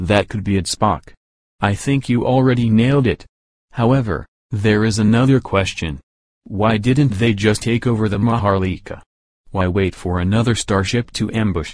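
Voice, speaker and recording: A man's growling, put-on character voice at a medium pitch and moderate pace, ordinary pitch variation, a quiet background. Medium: audio drama.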